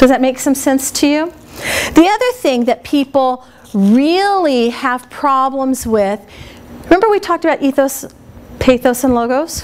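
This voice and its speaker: Against noticeable background noise, a woman speaks at a moderate pace in an animated tone, with a high pitch and lively intonation. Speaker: speech teacher. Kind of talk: workshop lecture. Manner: animated, varied intonation.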